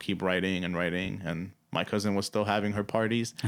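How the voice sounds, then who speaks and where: A man with a Spanish accent speaks at a fairly quick pace. His very deep, low voice has fairly even intonation. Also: very clean recording, silent background. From Dominican Republic. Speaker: musician. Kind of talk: interview. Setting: radio studio. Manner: casual, many fillers.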